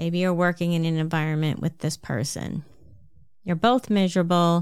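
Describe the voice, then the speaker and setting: At a moderate pace and with ordinary pitch variation, the speaker talks in a slight New Jersey accent in a very clean recording with a silent background. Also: woman. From New Jersey, US. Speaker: podcast host and health coach. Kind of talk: solo podcast monologue, advice talk.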